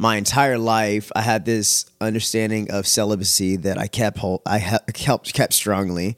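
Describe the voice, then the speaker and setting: Against a silent background in a very clean recording, a man with an American accent uses an ordinary speaking voice at fairly low pitch, with fairly even intonation and a moderate pace, the sound dry and close with no echo. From Texas, Houston area. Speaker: former youth pastor. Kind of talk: testimony. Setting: at home, dog in background.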